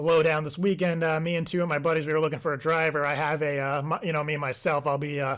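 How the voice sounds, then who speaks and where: On a very clean recording with a silent background, a man with a fairly high pitch rattles along at a very fast pace in a monotone, flat intonation with hardly any pauses. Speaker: prank caller. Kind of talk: prank call.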